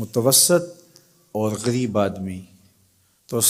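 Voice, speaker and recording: The speaker is a man with a fairly low pitch and ordinary pitch variation. He has an unremarkable speaking voice. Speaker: Islamic scholar and preacher. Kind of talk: religious lecture.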